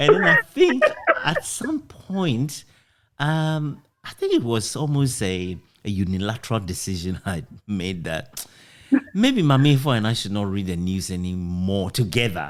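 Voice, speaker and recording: This man's voice sits at a medium pitch. He moves at a fairly slow pace with very wide pitch swings. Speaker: former radio newsreader. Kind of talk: casual interview conversation.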